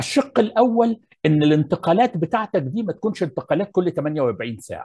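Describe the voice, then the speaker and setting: Against a quiet background, a man speaks at a moderate pace with a dark, mellow tone. His voice is high in pitch and moves in very wide pitch swings. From Egypt. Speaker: architecture professor. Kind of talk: lecture. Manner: formal. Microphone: earbuds.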